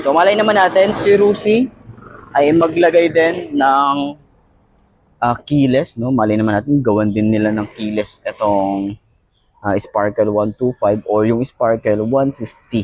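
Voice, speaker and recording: A man talks at a fairly slow pace. His voice sits at a medium pitch but swings very widely. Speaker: motorcycle vlogger. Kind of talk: product review vlog. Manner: casual, conversational.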